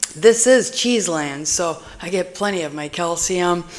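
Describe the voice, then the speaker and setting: A woman at a fairly low pitch and fairly slow pace, ordinary pitch variation, noticeable background noise. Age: 60s. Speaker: health vlogger. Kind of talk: casual monologue. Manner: conversational, with fillers.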